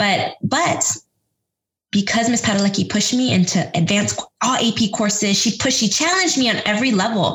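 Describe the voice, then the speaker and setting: A woman with an ordinary speaking voice talks at a fairly quick pace with a fairly high pitch, lively intonation, very even loudness and an American accent. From Texas, San Antonio. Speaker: education nonprofit director, former teacher. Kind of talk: interview.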